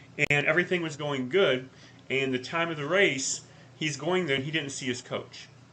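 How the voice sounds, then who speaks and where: Moderate pacing from a man with a fairly high voice, plus noticeable background noise. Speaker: life coach podcast co-host. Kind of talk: casual chat. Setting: live podcast. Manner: loud.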